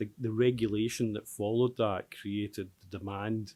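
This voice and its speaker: With a very clean recording and silent background, a man speaks in a fairly low, monotone voice with flat intonation. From Scotland, Glasgow. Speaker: tech company founder and chief executive. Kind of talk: panel discussion. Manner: hesitant, many fillers.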